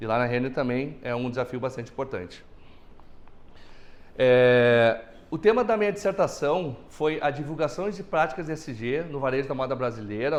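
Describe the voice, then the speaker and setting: Fairly quick speech from a man at medium pitch, against a quiet background. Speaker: accountant and lecturer. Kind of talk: lecture. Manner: fast.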